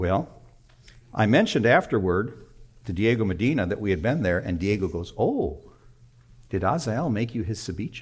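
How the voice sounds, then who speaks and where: A man with a fairly low, somewhat breathy voice speaks at a moderate pace with lively intonation, leaving long, frequent pauses. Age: 60s. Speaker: pastor. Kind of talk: sermon. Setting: church.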